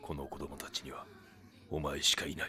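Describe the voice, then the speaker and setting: A man's cartoonish character voice at a moderate pace, with clear background noise. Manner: terse, grave.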